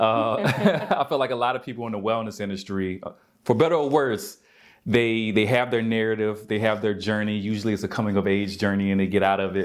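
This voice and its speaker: Talking at a fairly quick pace, a man with a slight Southern US accent uses a fairly low pitch and ordinary pitch variation. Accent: slight Southern country twang. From US South, Albany, Georgia. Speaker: yoga instructor and wellness coach. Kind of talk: interview.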